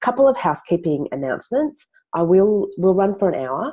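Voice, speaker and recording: Her tone is dark and mellow, and her intonation lively. The woman talks at a moderate pace. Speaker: communications trainer. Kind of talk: webinar presentation. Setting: video call webinar from home office.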